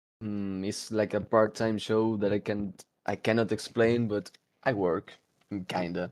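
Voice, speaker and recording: A man talks with an Argentine accent at a fairly slow pace. His voice is fairly low, with monotone, flat intonation. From Argentina. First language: Spanish. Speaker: podcast co-host. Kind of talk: casual chat. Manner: halting.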